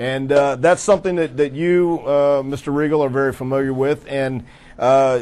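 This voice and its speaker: A normal speaking voice from a man, medium in pitch, its pitch varying in an ordinary way. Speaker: talk show host interviewing wrestlers. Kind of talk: talk show interview questions.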